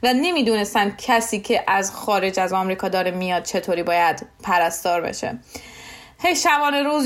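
Very wide pitch swings run through a woman's fairly quick speech. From Iran, Shiraz. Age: 20s. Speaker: nurse. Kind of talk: interview.

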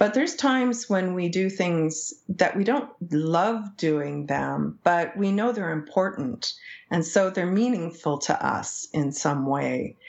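With a Canadian accent, a woman speaks at a very slow pace in a fairly low voice with lively intonation. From English Canada, small town. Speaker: psychology professor. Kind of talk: interview conversation.

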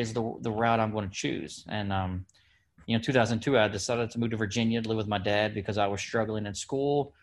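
A man speaks at a very fast pace with an American accent. His pitch is medium. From Kentucky. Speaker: wounded army veteran. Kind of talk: interview. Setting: outdoors.

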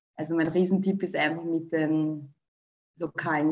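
A normal speaking voice from a woman, fairly low in pitch, at a moderate pace with fairly even intonation. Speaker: dancer and dance teacher. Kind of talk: casual interview.

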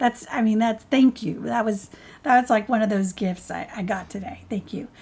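At a moderate pace, a woman talks in a normal speaking voice, fairly high in pitch and with ordinary pitch variation. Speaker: life coach and podcast co-host. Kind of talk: podcast interview.

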